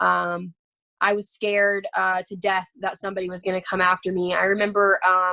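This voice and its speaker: A woman with an American accent has a bright, sharp tone. Her intonation is monotone and flat. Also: medium pitch for a woman, moderate pace. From Texas, Dallas. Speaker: trafficking survivor. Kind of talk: testimony. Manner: halting.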